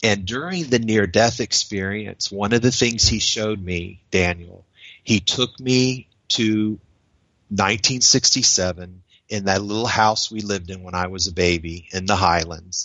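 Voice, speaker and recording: With a normal speaking voice, a man with an American accent talks at a fairly slow pace in a fairly low pitch with ordinary pitch variation. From US South, Florida. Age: 50s. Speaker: writer and spiritual seeker. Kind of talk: interview.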